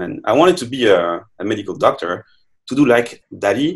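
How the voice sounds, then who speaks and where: A man speaks with a French accent. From France. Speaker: neuroscientist, professor. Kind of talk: interview. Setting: online remote recording. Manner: halting, many fillers.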